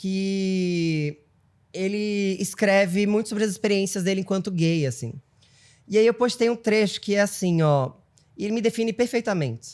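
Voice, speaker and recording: At a moderate pace, a man speaks in a high voice with ordinary pitch variation, on a very clean recording with a silent background. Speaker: TV journalist and presenter. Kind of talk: casual interview chat. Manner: effeminate.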